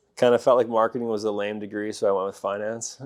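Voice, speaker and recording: Over a quiet background, the speaker rushes at a very fast pace in a monotone, flat intonation with a slight Canadian accent. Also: man. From Alberta, Canada (rural farming community). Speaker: pest control business owner. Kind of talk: interview.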